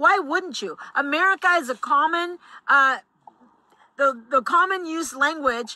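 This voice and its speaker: A woman uses a raised, projected voice with a bright, sharp tone. Her pace is fairly slow, and her pitch varies in an ordinary way. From Mexico. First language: Spanish. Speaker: political commentator. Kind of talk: vlog commentary.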